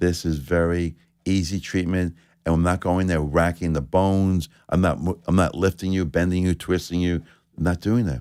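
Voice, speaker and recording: With a New York accent, a man speaks at a very deep, low pitch and with fairly even intonation on a very clean recording with a silent background. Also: moderate pace. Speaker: chiropractor. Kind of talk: live radio interview. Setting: radio studio.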